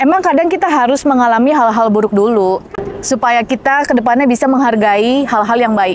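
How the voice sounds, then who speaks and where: High-pitched woman's voice with ordinary pitch variation at a moderate pace, dry with no echo and light background noise. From Indonesia. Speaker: manifestation coach and YouTuber; manifestation coach, YouTuber. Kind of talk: vlog-style motivational talk. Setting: outdoors, walking in Istanbul. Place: street. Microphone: lapel.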